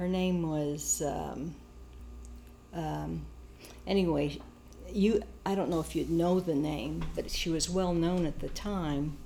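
Amid audible room echo, a woman with an American accent talks at a very slow pace with long, frequent pauses. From US Midwest, Kansas. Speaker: family elder recounting her life. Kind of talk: oral history interview.

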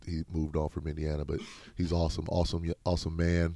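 A man with an American accent talks at a fairly quick pace in a very deep, low, dark and mellow voice with monotone, flat intonation, on a very clean recording with a silent background. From US Midwest. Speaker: college basketball coach. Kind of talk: interview. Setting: studio.

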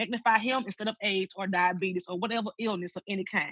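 Speaking very fast, a woman with a Mississippi accent has a bright, sharp tone. Her pitch varies in an ordinary way. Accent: Mississippi Southern US. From Mississippi, Tuscola. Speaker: church music director. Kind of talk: casual chat. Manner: halting.

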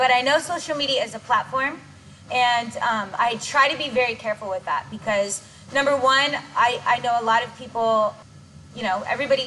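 Over noticeable background noise, a woman with a high pitch speaks fairly quickly in a raised, projected voice with lively intonation. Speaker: dance choreographer and director. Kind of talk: casual interview chat. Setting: gym. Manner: stutters at times.

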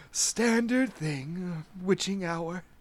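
Wheezy and middle in pitch, this is a put-on character voice. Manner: amused, laughing.

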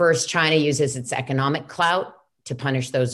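The speaker moves at a moderate pace with ordinary pitch variation. The background is quiet. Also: woman. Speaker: interviewer, lawyer and human rights advocate. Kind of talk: moderated interview. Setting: video call.

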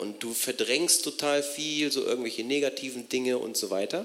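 Medium male pitch at a moderate pace, with ordinary pitch variation and noticeable background noise. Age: 40s. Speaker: audience member. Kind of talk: Q&A question. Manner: halting.

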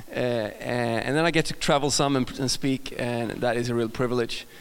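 An upbeat, energetic tone carries an American accent. Pitch variation is ordinary. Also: man. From Sweden. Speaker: guest pastor preaching a sermon. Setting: stage, church service. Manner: upbeat, humorous, energetic.

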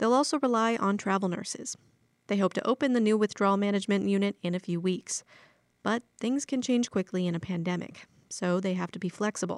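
This is a normal speaking voice with ordinary pitch variation, moving at a fairly quick pace. The recording is very clean with a silent background, and the sound is dry and close with no echo. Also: woman, medium pitch for a woman. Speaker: radio news reporter. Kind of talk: news reading.

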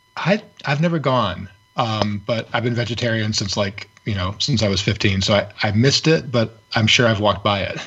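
Against noticeable background noise, the speaker uses an American accent, a moderate pace, and ordinary pitch variation. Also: man, fairly low pitch for a man. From Michigan, Ypsilanti. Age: 40s. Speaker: independent musician. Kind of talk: casual chat.

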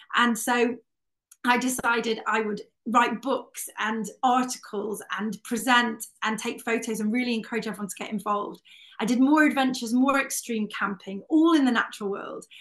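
At a moderate pace, a fairly high-pitched woman talks with fairly even intonation. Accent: Welsh. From Wales. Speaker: outdoor adventure writer and broadcaster. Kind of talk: panel talk.

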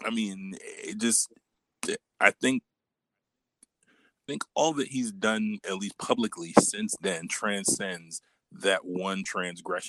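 This man speaks at a very slow pace, and the sound is dry and close with no echo. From New York, Brooklyn. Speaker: podcast guest. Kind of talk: casual chat.

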